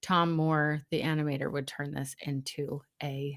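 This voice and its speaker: At a moderate pace, a woman talks in a very deep, low voice on a very clean recording with a silent background. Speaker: podcast host and tarot reader. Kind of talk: casual chat. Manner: soft-spoken.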